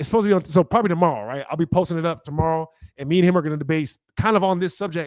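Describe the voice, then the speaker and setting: A man speaks loudly at a very fast pace. His pitch is high, with ordinary variation. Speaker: science debater and online host. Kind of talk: casual conversation after a debate. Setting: livestream. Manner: fast, many repeated words.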